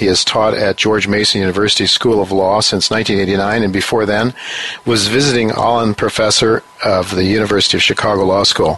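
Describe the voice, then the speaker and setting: With an American accent, a man delivers fairly quick, fairly low-pitched speech in a flat monotone at very even loudness, with noticeable background noise behind him. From US. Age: 60s. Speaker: radio host and newsletter writer. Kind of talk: interview on financial radio show. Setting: studio in New York. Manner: halting, many fillers.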